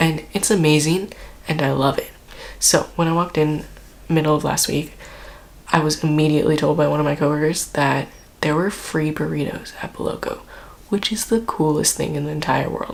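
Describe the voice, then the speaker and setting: The speaker is soft-spoken and leaves long, frequent pauses. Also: fairly quick pace. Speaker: IT department worker. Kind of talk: casual storytelling to camera.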